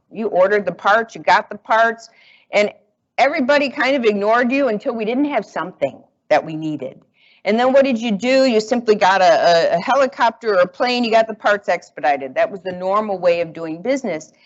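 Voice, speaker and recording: The woman's tone is animated, her fairly high pitch swinging very widely. She talks at a fairly quick pace. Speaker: automotive industry executive and consultant. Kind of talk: conference talk.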